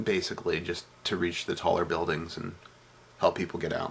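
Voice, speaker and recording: A man puts on a raspy character voice, very deep and low, delivered in a deadpan tone at a fairly quick pace. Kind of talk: comic vlog storytelling. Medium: solo performance. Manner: rambling, hesitant, deadpan, full of fillers.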